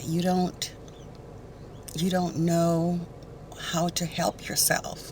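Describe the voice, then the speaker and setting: Over noticeable background noise, a woman with a fairly low voice speaks at a very slow pace with long, frequent pauses. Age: 60s. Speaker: beauty vlogger. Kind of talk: casual chat. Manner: halting.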